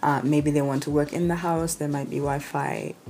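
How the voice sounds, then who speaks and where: A woman's very deep, low voice in a Kenyan accent, fairly quick, with fairly even intonation. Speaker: travel vlogger. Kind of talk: casual vlog talk. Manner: conversational, informal.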